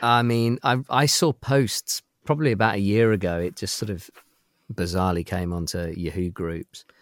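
A man with a British accent, fairly low in pitch at a moderate pace, in a dry, close sound with no echo and a very clean recording with a silent background. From UK. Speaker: toy collector. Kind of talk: casual chat.

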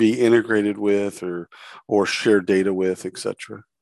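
A man's fairly low voice, an ordinary speaking voice with fairly even intonation, in a dry, close sound with no echo. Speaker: podcast host. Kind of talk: interview.

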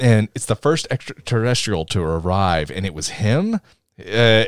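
The speaker is reading aloud in a natural voice with lively intonation over a quiet background.

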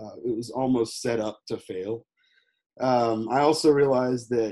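A man speaks in a Texan accent at medium pitch. His tone is dark and mellow, with ordinary pitch variation. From Texas, Houston. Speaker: former teacher, tour business owner. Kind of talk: interview.

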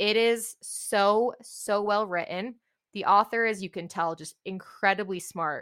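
A woman with a plain, everyday voice speaks in fairly even intonation on a very clean recording with a silent background. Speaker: podcast host reviewing books. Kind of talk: casual solo book review monologue.

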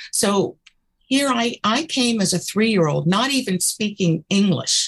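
An American woman talks at a moderate pace with lively intonation and a somewhat breathy voice. The sound is dry and close, with no echo. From US South. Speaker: political candidate. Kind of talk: interview.

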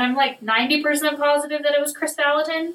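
A woman speaks in a high pitch. Her voice is raised and projected. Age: 20s. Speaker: guest sharing faith reflection. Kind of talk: casual chat. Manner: casual.

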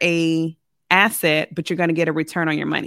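In a very clean recording with a silent background and a dry, close sound with no echo, a woman with an American accent speaks at a fairly low pitch in an ordinary speaking voice. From military childhood in Germany and US, later Richmond, Virginia. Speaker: real estate investor. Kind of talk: podcast interview.

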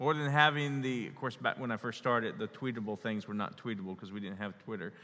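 Bright and sharp in tone, a man sounds animated, talking at a fairly quick pace with lively intonation against a quiet background. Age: 40s. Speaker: pastor. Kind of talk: sermon. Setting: church.

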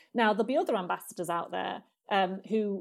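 With a British accent, a woman speaks at a fairly quick pace with ordinary pitch variation on a very clean recording with a silent background. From Britain. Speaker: diplomat. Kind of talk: interview conversation.

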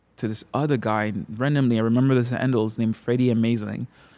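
A man with a French accent at a very fast pace, in a monotone, flat delivery. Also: very clean recording, silent background. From Montreal, Quebec. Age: 20s. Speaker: photographer and creative director. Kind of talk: casual chat. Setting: studio.

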